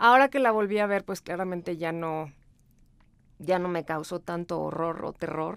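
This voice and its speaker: A plain, everyday voice at a moderate pace, with ordinary pitch variation, on a very clean recording over a silent background. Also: woman, fairly low pitch for a woman. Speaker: podcast co-host. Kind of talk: casual chat.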